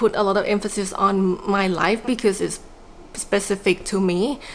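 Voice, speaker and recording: A woman talks at a moderate pace. She has a non-native accent. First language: not English. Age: 40s. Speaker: small business owner and vlogger. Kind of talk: personal reflective vlog. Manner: casual with many fillers.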